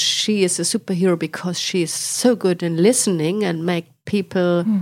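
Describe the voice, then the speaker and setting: A woman with a German accent speaks at a moderate pace, fairly low in pitch, with ordinary pitch variation. Noticeable background noise runs underneath. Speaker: director of a children's literature house. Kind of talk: interview. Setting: recording while visiting Sweden.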